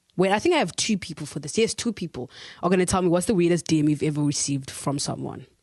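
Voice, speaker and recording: A woman talks very fast in an animated tone, her pitch fairly low with ordinary variation. The background is quiet. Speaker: podcast host. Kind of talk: casual podcast chat.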